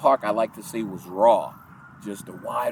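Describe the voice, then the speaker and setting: A man speaks at medium pitch and a moderate pace. Noticeable background noise is present. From Southeast Washington DC. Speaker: park community worker. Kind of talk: oral history interview. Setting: outdoors in a park.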